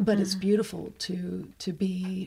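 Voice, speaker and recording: A woman with a medium pitch speaks at a moderate pace in a dark, mellow, somewhat breathy tone with monotone, flat intonation. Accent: American. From Northeast Ohio, US. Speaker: hospital chaplain. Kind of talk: radio interview. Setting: studio.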